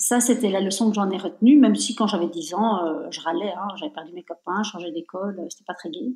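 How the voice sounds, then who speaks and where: The speech moves at a fairly quick pace, with big swings in loudness. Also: woman, medium pitch for a woman, lively intonation, hardly any pauses. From Belgium. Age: 50s. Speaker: entrepreneur. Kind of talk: interview. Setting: remote recording.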